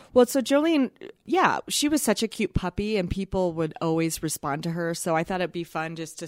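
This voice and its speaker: Recorded dry and close with no echo, a woman with an unremarkable speaking voice talks at a moderate pace, fairly low in pitch and with lively intonation. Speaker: Instagram content creator. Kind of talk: casual interview chat.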